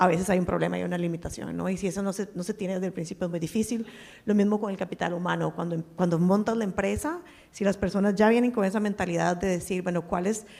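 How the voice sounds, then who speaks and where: Very fast, a woman speaks with a dark, mellow tone and fairly even intonation. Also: medium pitch for a woman. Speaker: venture capital investor and former pharma executive. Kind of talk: panel discussion.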